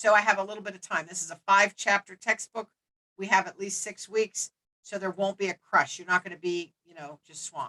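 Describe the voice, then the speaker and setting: The woman has a bright, sharp tone and a monotone, flat intonation. The sound is dry and close, with no echo. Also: medium pitch for a woman, fairly quick pace, big swings in loudness. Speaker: instructor. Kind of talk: lecture. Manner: fast.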